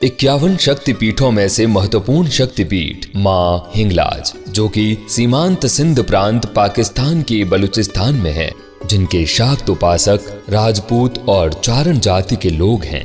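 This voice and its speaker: Music plays in the background as a man talks with lively intonation at a fairly low pitch. He leaves hardly any pauses. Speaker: voice actor; radio jockey. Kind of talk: documentary narration.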